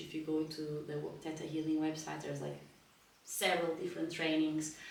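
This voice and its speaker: At a fairly quick pace, a woman with a Portuguese accent speaks in a very deep, low voice, with audible room echo and noticeable background noise. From northern Portugal. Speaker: spiritual healing teacher. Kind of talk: lecture. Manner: halting, with frequent fillers.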